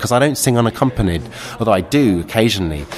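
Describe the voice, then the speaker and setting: A man talks with a London accent at medium pitch. Noticeable background noise runs under his voice. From London (Kentish Town). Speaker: folk singer. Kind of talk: casual interview chat. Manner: halting, repeats words.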